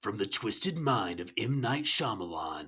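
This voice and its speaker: A man puts on a character voice with a dramatic tone. His medium-pitched voice is raspy. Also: moderate pace. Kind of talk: dramatic trailer narration.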